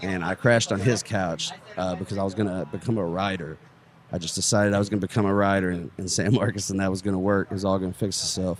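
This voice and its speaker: Speaking very fast with an East Texas accent, a man keeps a fairly low pitch and fairly even intonation. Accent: East Texas Southern US. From East Texas, near Longview. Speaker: stand-up comedian. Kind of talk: casual podcast interview.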